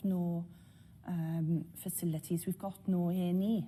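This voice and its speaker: A woman with a South Welsh accent talks at a very slow pace in a fairly low, somewhat breathy voice. Her tone is dark and mellow, and her intonation stays monotone and flat. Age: 50s. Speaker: local resident. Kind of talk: interview testimony.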